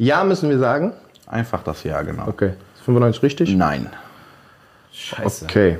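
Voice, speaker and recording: A man swings very widely in pitch as he talks at a moderate pace. He leaves long, frequent pauses. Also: medium pitch for a man. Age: 30s. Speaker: podcast host. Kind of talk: casual chat.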